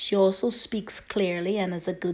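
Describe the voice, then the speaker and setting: A woman's voice carries a dark, mellow tone at a medium pitch. She talks at a fairly slow pace. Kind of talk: news article read aloud.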